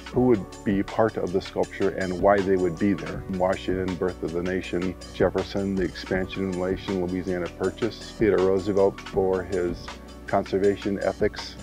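Very deep, low male speech with fairly even intonation and hardly any pauses, dry with no echo, over clear background music. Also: moderate pace. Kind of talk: interview answer. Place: forest. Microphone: lapel.

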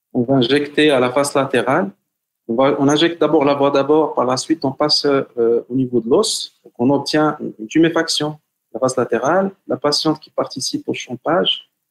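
Against a quiet background, a man speaks at a moderate pace. His pitch is fairly high, and his loudness swings widely. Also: ordinary pitch variation. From Morocco. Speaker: hand surgeon; presenter. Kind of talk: webinar lecture. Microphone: video call.

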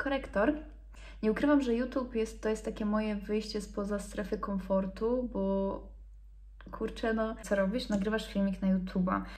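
The woman's medium-pitched voice keeps a moderate pace. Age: 20s. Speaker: beauty influencer; beauty vlogger. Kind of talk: casual chat. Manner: animated. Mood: relaxed, playful. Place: home room. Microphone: phone near.

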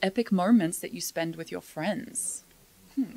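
A woman speaks in an Australian accent with ordinary pitch variation. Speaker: podcast co-host. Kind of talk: casual chat; reading aloud. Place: studio. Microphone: studio mic.

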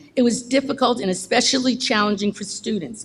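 Somewhat breathy, a woman with a fairly high pitch talks at a fairly quick pace. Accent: American. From New Jersey (Bayonne). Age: 70s. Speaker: member of the public, substitute teacher. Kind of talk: public comment speech. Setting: school board meeting.

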